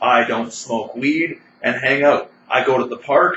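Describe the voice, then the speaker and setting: A man with a Canadian accent speaks in a fairly high pitch over noticeable background noise. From Canada. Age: 40s. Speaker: vlogger. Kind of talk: personal monologue. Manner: rambling, agitated.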